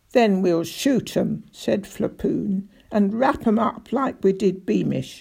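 Reading done in an unforced voice

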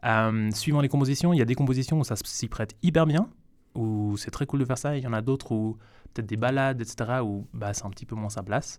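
A man talking at a very fast pace with ordinary pitch variation, on a very clean recording with a silent background. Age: 20s. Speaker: jazz banjo player and composer. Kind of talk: radio interview. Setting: studio.

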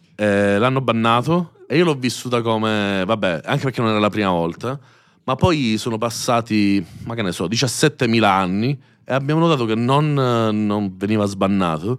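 In an unremarkable speaking voice, a man talks at a moderate pace and medium pitch with ordinary pitch variation, on a very clean recording with a silent background. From Sicily (Messina). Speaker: youtuber, streamer and musician. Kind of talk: casual interview chat.

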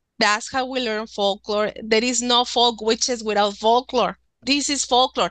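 In a Spanish accent, a woman speaks at a fairly slow pace. Her pitch is fairly high. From Mexico, Nuevo León. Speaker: author and witchcraft practitioner. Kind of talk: casual interview.

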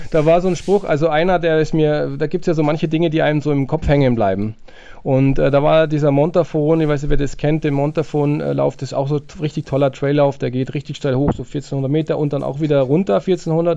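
Speaking at a fairly quick pace, a man with a fairly high pitch and a dark, mellow tone keeps his intonation fairly even. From Allgäu, Bavaria. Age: 50s. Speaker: trail runner and sports shop owner. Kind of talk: casual interview.

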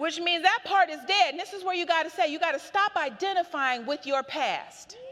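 An animated woman with an extremely high pitch talks at a fairly quick pace with hardly any pauses and ordinary pitch variation, against noticeable background noise. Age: 40s. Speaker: preacher. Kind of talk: sermon.

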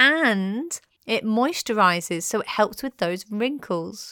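A woman with a fairly high pitch and lively intonation is heard in a very clean recording with a silent background. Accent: British. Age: 30s. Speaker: podcast host. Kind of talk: scripted narration.

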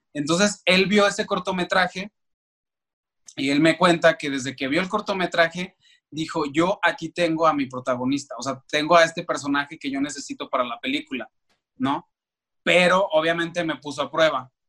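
A man's bright, sharp voice, pitched fairly high. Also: ordinary pitch variation, moderate pace, dry, close sound with no echo. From Mexico, Aguascalientes. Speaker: actor. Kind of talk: interview. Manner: halting, with many repeated words.

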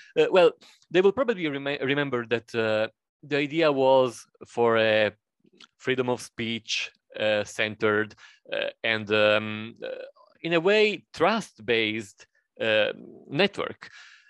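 Lively in intonation, a man with a medium pitch speaks at a fairly slow pace with long, frequent pauses, the sound dry and close with no echo. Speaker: radio journalist, tech nonprofit founder. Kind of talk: interview. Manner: halting.

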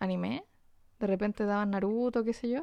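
A woman's normal speaking voice with fairly even intonation, set against a quiet background. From Chile, Antofagasta. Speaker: illustrator and podcast co-host. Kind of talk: casual chat.

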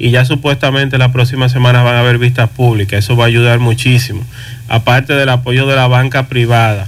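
Against noticeable background noise, a man at medium pitch speaks at a fairly quick pace with very even loudness and monotone, flat intonation. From Dominican Republic, Moca family roots. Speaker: electric car dealer. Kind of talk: radio interview.

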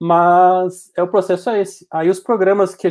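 The recording is very clean, with a silent background. A man speaks in a high pitch. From Passo Fundo, Rio Grande do Sul, Brazil. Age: 20s. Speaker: 3D animator and video editor. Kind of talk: casual chat.

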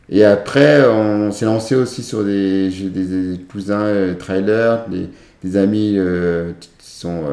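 There is audible room echo around a man's fairly low voice. His tone is dark and mellow, with ordinary pitch variation. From France, Chambéry (Savoie). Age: 30s. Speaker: para-athlete, former para swimmer. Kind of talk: interview. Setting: recorded at his home.

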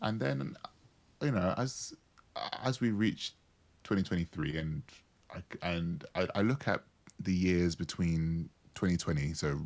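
The recording is very clean, with a silent background. A man talks at a moderate pace with a very deep, low pitch and ordinary pitch variation. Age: 30s. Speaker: therapist and coach. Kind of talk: casual chat.

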